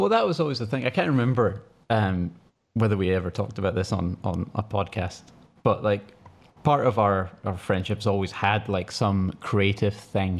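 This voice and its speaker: In a very clean recording with a silent background, a man with a Scottish accent speaks at a moderate pace, his fairly low pitch showing ordinary variation. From Scotland. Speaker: podcast co-host. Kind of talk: casual chat.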